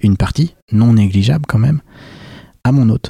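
A man's dark, mellow voice at a moderate pace, dry and close with no echo. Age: 30s. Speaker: startup founder. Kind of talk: interview.

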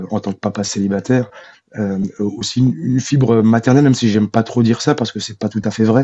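Fairly even intonation marks this man's speech. His pitch sits in the medium range. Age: 40s. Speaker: single father and property manager. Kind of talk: interview testimony. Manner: halting.

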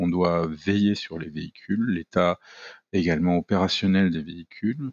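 A man's very deep, low voice at a very slow pace. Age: 40s. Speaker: airport fire service manager. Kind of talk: interview. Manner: hesitant, many fillers and repetitions.

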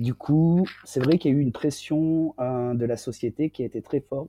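A man's medium-pitched voice with a dark, mellow tone, dry and close with no echo, at a moderate pace over a quiet background. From southern France. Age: 40s. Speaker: interviewee sharing personal testimony. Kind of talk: personal testimony interview. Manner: hesitant, many fillers.

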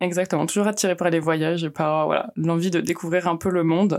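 A woman with a plain, everyday voice speaks at a fairly low pitch and a moderate pace with fairly even intonation, in a very clean recording with a silent background. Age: 20s. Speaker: international mobility officer. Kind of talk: interview.

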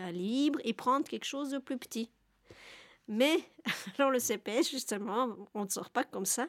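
Over a very clean, silent background, a woman speaks at a moderate pace with ordinary pitch variation in a dry, close sound with no echo. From Belgium. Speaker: interviewee on social welfare. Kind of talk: testimony. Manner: halting.

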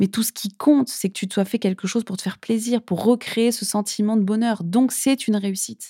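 Quickly and with hardly any pauses, a woman with a fairly high pitch speaks in a somewhat breathy, dark, mellow tone with fairly even intonation, the sound dry and close with no echo on a very clean recording with a silent background. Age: 30s. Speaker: podcast host and empowerment coach. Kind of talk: solo podcast monologue. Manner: casual, conversational.

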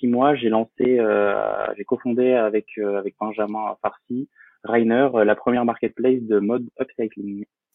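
The intonation stays monotone and flat as the words come fairly slowly. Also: man. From France, Poitiers (Vienne). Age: 20s. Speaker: freelance photographer and entrepreneur. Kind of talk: podcast interview. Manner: hesitant, many fillers.

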